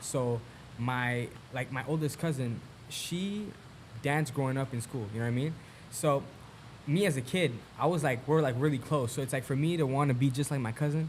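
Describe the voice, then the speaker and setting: Somewhat breathy and in a Montreal accent, the voice moves at a fairly quick pace with ordinary pitch variation and long, frequent pauses. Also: man, medium pitch for a man. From Canada, Montreal. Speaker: musician. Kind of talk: casual chat. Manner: animated.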